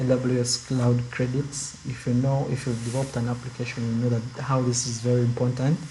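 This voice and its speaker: A soft-spoken man of medium pitch with monotone, flat intonation, a moderate pace and noticeable background noise. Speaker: student club leader. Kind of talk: online info session. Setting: video call.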